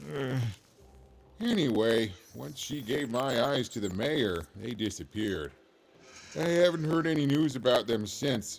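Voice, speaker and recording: Faint music plays behind a man doing a put-on character voice at medium pitch. He keeps a moderate pace, broken by long, frequent pauses. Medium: video game. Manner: rambling, chuckling.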